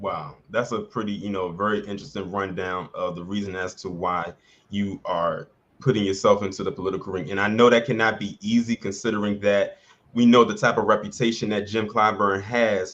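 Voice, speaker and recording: With an unremarkable speaking voice, a man talks at a fairly quick pace, fairly low in pitch and with fairly even intonation. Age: 30s. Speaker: YouTube channel host. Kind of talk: casual interview.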